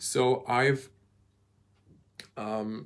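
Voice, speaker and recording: A man talks with a slight Croatian accent. His pitch sits in the medium range with ordinary variation. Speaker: car reviewer, YouTuber. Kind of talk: live stream Q&A. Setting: live video, handheld camera. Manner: hesitant with many fillers.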